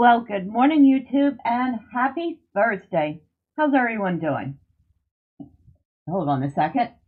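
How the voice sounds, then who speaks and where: The speaker moves at a fairly slow pace, with very wide pitch swings and long, frequent pauses. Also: woman, fairly high pitch for a woman. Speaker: gaming youtuber. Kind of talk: let's play commentary.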